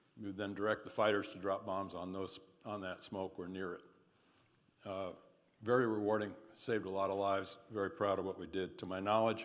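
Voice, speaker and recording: A man with an American accent, fairly low pitch and monotone, flat intonation, at a fairly quick pace broken by long, frequent pauses, amid audible room echo. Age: 70s. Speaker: war veteran and trial lawyer. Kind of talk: lecture.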